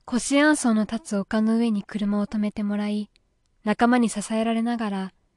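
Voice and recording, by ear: In a quiet background, the reading aloud comes in a natural voice.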